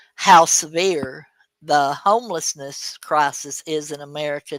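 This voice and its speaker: The speaker has an Alabama accent. The recording is very clean, with a silent background. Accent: US Southern (Alabama). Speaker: live stream host. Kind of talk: casual chat. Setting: live stream. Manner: halting, many fillers.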